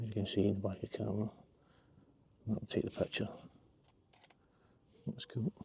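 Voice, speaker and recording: Whispering quietly and somewhat breathily in a Glasgow accent, a man leaves long, frequent pauses, the sound dry and close with no echo. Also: big swings in loudness. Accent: Scottish (Glasgow area). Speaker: landscape photographer, vlogger. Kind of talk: casual outdoor vlog narration. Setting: outdoors by a river. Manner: quiet, near whisper.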